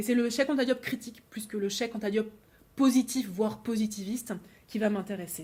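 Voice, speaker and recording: A woman talks at a fairly quick pace with a fairly high, somewhat breathy voice. Her intonation stays fairly even. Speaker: philosophy lecturer. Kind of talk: academic lecture. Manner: fast; hesitant, repeats words.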